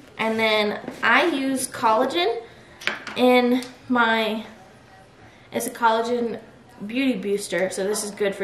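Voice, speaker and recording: Audible room echo surrounds the woman's voice. Behind her sits light background noise. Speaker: lifestyle vlogger. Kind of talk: casual vlog chat. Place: kitchen. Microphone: camera far.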